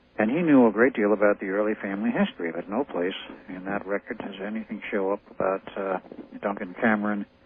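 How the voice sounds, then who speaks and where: A man talks fairly quickly in a fairly low voice. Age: 60s. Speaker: interviewee on paranormal claims. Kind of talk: radio interview. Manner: halting.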